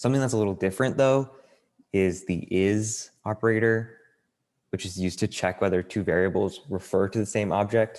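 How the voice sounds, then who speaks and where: This is a man with a normal speaking voice, fairly low in pitch. He talks at a fairly quick pace with fairly even intonation. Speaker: programming class instructor. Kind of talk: online class tutorial. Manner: casual with many fillers.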